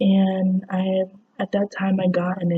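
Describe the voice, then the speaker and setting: A woman's somewhat breathy, dark and mellow voice at medium pitch, monotone and flat, at a very slow pace, in a dry, close sound with no echo. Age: young. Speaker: chronic illness patient. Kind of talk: casual talk to camera.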